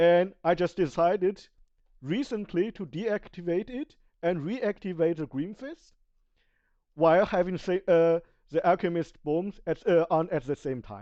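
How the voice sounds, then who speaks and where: Someone with a non-native accent speaks at a fairly slow pace against a quiet background. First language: Chinese. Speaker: video game streamer. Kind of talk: tutorial. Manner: halting, many self-corrections.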